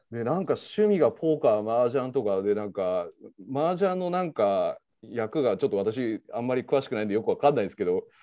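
A man talks at a very fast pace and a medium pitch. His pitch swings very widely. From Osaka, Japan. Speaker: crypto exchange executive. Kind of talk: casual interview.

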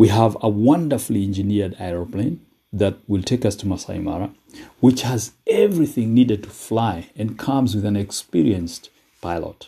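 A man speaks at a moderate pace in a fairly low, dark and mellow voice. His delivery is somewhat breathy, with lively intonation. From Kenya. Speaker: motivational podcaster. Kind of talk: motivational talk. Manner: hesitant with frequent fillers.

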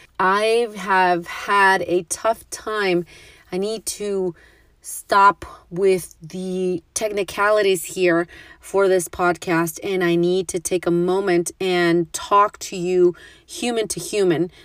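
A woman with a Spanish accent speaks in a monotone, flat intonation at a very slow pace, the sound dry and close with no echo on a very clean recording with a silent background. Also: medium pitch for a woman. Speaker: podcast host. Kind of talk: solo monologue. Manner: slow, halting.

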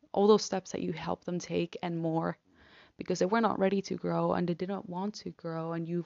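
With a Spanish accent, the speaker keeps to a moderate pace. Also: woman. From Argentina. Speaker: podcaster, law student. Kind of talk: personal monologue. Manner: halting, hesitant.

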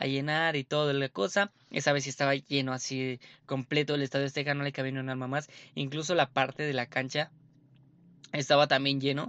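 Over a quiet background, a man talks at a fairly quick pace in a fairly high pitch. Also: dry, close sound with no echo. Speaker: sports podcast host. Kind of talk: casual monologue. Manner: animated.

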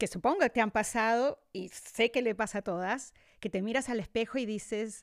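Speaking at a fairly slow pace and a fairly high pitch, a woman has an ordinary speaking voice on a very clean recording with a silent background. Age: 50s. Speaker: podcast host and wellness teacher. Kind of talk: casual chat.

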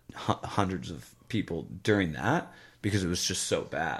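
The speaker has an American accent and lively intonation. Vocal fry runs through the voice. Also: man. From US Midwest. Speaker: podcast host. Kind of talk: casual chat.

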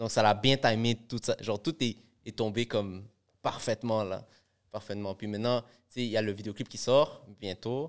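At a moderate pace, a man speaks with a medium pitch, fairly even intonation and a normal speaking voice. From Montreal area (Laval), Peruvian family. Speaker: rapper. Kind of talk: casual chat.

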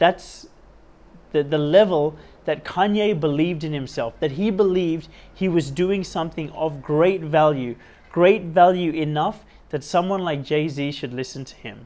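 With an Australian accent, a man talks in an animated tone, showing ordinary pitch variation and big swings in loudness. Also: fairly high pitch for a man, moderate pace. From western suburbs of Sydney, Australia. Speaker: podcast host. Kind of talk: solo motivational monologue. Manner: animated, repetitive emphasis; gets louder when talking about personal development.

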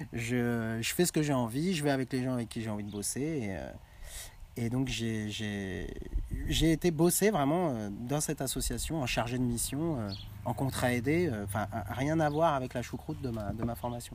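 This man talks at a moderate pace, his medium pitch showing ordinary variation. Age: 30s. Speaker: coach. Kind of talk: casual chat. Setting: outdoors. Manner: halting.

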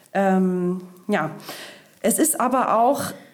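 Her pitch sits in the medium range, and this woman's intonation is lively. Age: 30s. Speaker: podcast host. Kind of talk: news podcast chat. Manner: slow, simple explanations.

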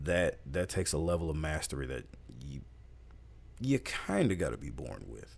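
A very deep, low male voice with vocal fry and very wide pitch swings, in a very clean recording with a silent background. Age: 20s. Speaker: rapper and podcast host. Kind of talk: casual solo monologue.

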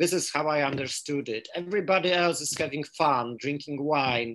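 Speaking with a Polish accent, a man uses a fairly high pitch and ordinary pitch variation. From Poland. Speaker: philosophy scholar. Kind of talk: interview. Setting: video call.

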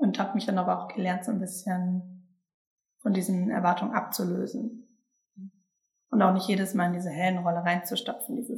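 Talking at a fairly quick clip, a woman with a medium-pitched, somewhat breathy voice keeps her intonation fairly even and leaves long, frequent pauses. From Sauerland, Germany. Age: 20s. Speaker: human design coaching team member. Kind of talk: casual interview chat. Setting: recorded together in a house by the forest.

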